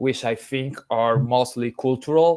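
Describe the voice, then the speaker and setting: A man with a Spanish accent, medium in pitch, very slow, in monotone, flat intonation. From Colombia. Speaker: sound artist and lecturer. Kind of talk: lecture. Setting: video call. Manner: halting, many fillers.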